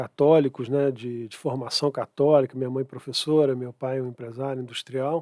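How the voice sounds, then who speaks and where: Recorded dry and close with no echo, a man speaks with hardly any pauses in a dark, mellow tone, monotone and flat in intonation but with big swings in loudness. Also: medium pitch for a man, moderate pace. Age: 60s. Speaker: conservative activist and economist. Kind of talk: podcast interview. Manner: halting.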